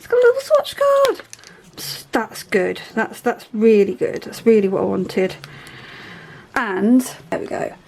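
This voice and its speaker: A woman with a British accent speaks at a moderate pace with long, frequent pauses and big swings in loudness, amid noticeable background noise. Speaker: craft hobby youtuber. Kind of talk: casual unboxing tutorial chat. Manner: halting with fillers; animated, excited.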